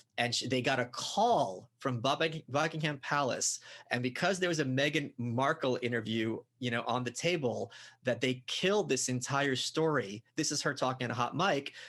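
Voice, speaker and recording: A man with a New York accent, medium pitch, ordinary pitch variation, very even loudness and a moderate pace, against a quiet background. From Brooklyn, New York. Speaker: author and podcaster. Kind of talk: conversational interview.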